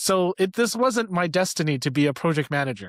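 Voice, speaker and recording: With a Canadian accent and lively intonation, a man is heard in a very clean recording with a silent background and a dry, close sound with no echo. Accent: northern (Canadian). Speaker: leadership coach. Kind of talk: interview podcast chat.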